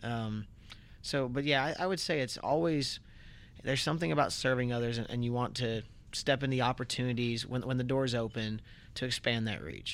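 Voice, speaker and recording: A man's medium-pitched voice at a fairly quick pace, with fairly even intonation, on a very clean recording with a silent background. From Central Florida (Port Orange), moved from North Carolina at four. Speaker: city council member. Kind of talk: interview. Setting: podcast studio. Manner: halting, many fillers and restarts.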